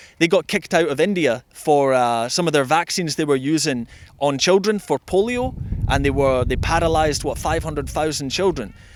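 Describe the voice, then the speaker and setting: A man with a Scottish accent, fairly high-pitched, at a fairly quick pace with ordinary pitch variation. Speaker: street interviewer. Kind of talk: street interview. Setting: outdoors in a park.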